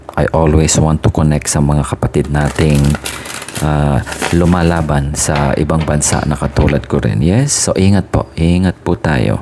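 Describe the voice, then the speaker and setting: Soft-spoken and very deep in pitch, a man talks at a fairly slow pace with ordinary pitch variation and very even loudness, over noticeable background noise. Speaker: tarot reader. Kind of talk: casual chat.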